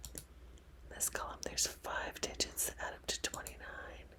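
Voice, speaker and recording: A woman whispers at a very slow pace. Noticeable background noise runs underneath. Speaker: ASMR puzzle streamer. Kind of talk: ASMR puzzle-solving commentary. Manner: whispered, soft-spoken.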